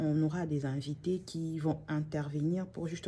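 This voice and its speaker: The voice belongs to a woman with a very deep, low pitch. Her tone is dark and mellow, and somewhat breathy. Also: very clean recording, silent background. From DR Congo. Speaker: channel host. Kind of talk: vlog monologue. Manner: halting.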